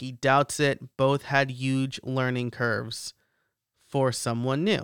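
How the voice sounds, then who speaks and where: A man with a normal speaking voice at medium pitch, fairly slow pace, very clean recording with a silent background and a dry, close sound with no echo. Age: 30s. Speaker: podcast host. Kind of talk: solo news commentary podcast.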